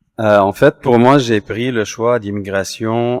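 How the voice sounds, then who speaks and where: This man talks at a very slow pace with fairly low pitch and fairly even intonation. The recording is very clean with a silent background and a dry, close sound with no echo. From Lebanon. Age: 40s. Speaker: immigrant panelist. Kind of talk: panel discussion.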